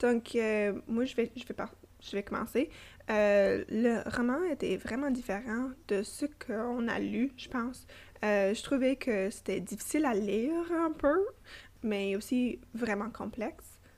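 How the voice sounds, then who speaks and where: Delivered at a very slow pace, the speech has lively intonation and a slight English accent. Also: woman, fairly high pitch for a woman. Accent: slight English-speaker accent in French. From Toronto, Canada. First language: English (speaking French). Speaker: podcast co-host. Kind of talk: casual book discussion. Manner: halting, many fillers.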